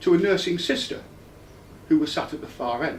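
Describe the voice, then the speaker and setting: A man's high-pitched voice carries with audible room echo. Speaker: patient's husband giving feedback. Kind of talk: personal testimony.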